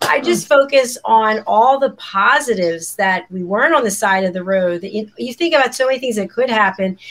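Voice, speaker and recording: A woman's unremarkable speaking voice, fairly quick and lively in intonation, with hardly any pauses. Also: fairly high pitch for a woman. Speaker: talk show host. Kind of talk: live broadcast panel show. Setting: studio.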